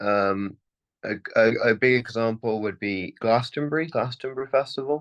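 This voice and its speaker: With a British accent and ordinary pitch variation, a man is heard in a dry, close sound with no echo. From United Kingdom. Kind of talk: interview answer. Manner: casual, hesitant.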